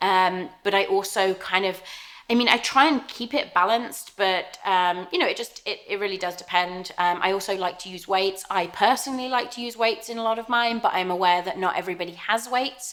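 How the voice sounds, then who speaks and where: A woman with an English accent at a medium pitch, with ordinary pitch variation, a fairly quick pace and hardly any pauses. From southern England, Southampton. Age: 30s. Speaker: fitness YouTuber. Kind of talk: casual Q&A vlog. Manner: hesitant, many fillers.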